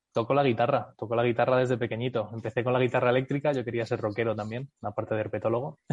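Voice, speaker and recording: Somewhat breathy and medium in pitch, a man talks very fast with hardly any pauses and monotone, flat intonation. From United States (Miami area), from age nine. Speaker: company CEO. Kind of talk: interview. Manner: hesitant with fillers.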